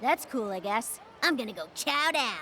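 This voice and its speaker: A woman performs a cartoonish character voice, fairly high in pitch with very wide pitch swings, at a moderate pace amid clear background noise. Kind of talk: tough street-kid attitude. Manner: slangy, sneering, brusque.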